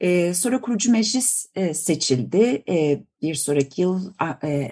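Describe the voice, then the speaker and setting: A woman's dark, mellow tone moves in very wide pitch swings. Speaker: political science professor. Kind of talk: interview. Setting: remote call. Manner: halting, many fillers.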